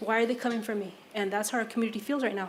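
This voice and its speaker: A woman talks with a fairly high pitch. The recording has audible room echo and noticeable background noise. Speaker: public commenter. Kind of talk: public comment at council meeting. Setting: city council chambers.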